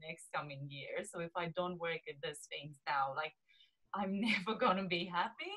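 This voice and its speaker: In a Romanian accent, a woman speaks at a moderate pace. Her voice is fairly low, with ordinary pitch variation. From Romania, small southeast city. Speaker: lifestyle coach. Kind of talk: interview chat.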